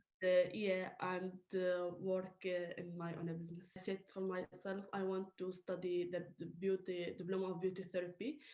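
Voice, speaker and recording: A woman with a Middle Eastern accent speaks at a moderate pace and medium pitch. Her tone is dark and mellow, her intonation flat and monotone. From Iraq. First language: Syriac. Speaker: beauty therapy student. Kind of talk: interview. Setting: video call. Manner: halting.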